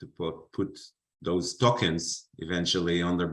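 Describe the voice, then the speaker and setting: In a very clean recording with a silent background, a man with an Israeli accent speaks at a very deep, low pitch. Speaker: finance panelist. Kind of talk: panel discussion.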